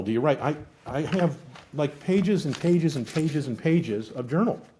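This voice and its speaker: At a moderate pace, a man speaks in a dark, mellow, somewhat breathy tone with ordinary pitch variation, in a very clean recording with a silent background. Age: 60s. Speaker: executive coach. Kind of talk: podcast interview.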